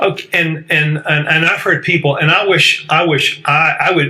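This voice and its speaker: With an American accent, a man speaks at a moderate pace and a fairly high pitch, his intonation fairly even over noticeable background noise. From US South. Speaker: talk show host. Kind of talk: debate.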